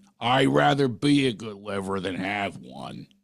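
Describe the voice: This raspy, put-on character voice with a Philadelphia accent swings very widely in pitch. It moves at a moderate pace. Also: man, fairly low pitch for a man. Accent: Philly.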